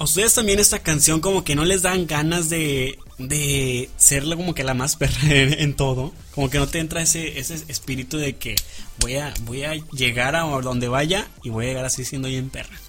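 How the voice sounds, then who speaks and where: A man's pitch is fairly high, varying in an ordinary way. Music sounds in the background while he talks at a moderate pace. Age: 20s. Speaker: radio host. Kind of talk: casual chat.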